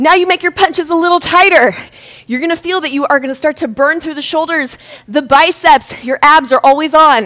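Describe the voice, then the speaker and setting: A woman's extremely high-pitched, upbeat, energetic voice at a fairly quick pace, with ordinary pitch variation. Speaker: fitness instructor. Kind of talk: live-streamed boxing workout class, coaching with rhythmic cues and combo calls. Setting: live-streamed video workout. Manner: animated, chatty with viewers, laughing and greeting them by name. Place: studio.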